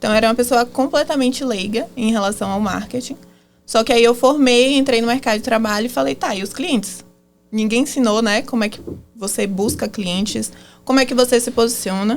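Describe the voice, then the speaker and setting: Music plays behind a woman with a Bahian accent. She speaks fairly quickly in a fairly high voice with ordinary pitch variation. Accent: Bahian accent, comes back. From Bahia, Brazil. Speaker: marketing agency founder, former lawyer. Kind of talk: podcast interview.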